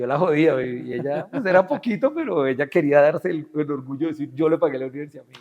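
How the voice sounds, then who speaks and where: Pitched fairly high, a man rattles off his words at a very fast pace. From Colombia. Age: 40s. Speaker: business executive. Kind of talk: interview. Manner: animated.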